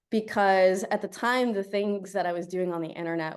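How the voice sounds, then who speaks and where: Against a quiet background, a woman speaks at a moderate pace, her medium pitch showing ordinary variation. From South Florida, born in Colombia. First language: Spanish. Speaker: tech product manager, guest speaker. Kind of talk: guest talk to student club. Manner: animated.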